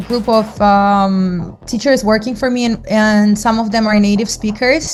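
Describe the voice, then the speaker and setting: Music plays in the background as a woman with a Russian accent talks. Her pitch is fairly high and her pace moderate. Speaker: English teacher. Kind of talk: interview.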